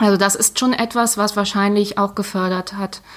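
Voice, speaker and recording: In an ordinary speaking voice, a woman of medium pitch talks at a moderate pace. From East Belgium (German-speaking Community), early childhood near Cologne. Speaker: head of a sport and politics network office. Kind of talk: interview.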